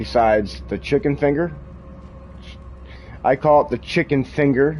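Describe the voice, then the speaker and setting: Music plays in the background as a man speaks at a moderate pace. His medium-pitched voice has lively intonation. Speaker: gaming streamer. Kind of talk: live gameplay commentary. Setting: live stream while gaming, wearing headphones. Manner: loud.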